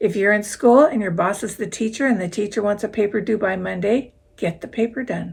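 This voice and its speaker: A woman speaks at medium pitch with ordinary pitch variation and a somewhat breathy quality. Her pace is fairly quick, with hardly any pauses. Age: 70s. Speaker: YouTuber and full-time RVer. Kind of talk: talking-head vlog advice. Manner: conversational.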